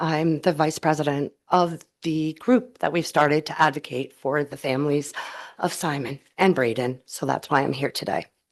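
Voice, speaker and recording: A woman's voice sits very deep and low and comes out shaky. She moves at a moderate pace with ordinary pitch variation. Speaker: advocate testifying at legislative hearing. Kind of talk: public testimony. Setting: legislative committee hearing room. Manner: shaky, emotional.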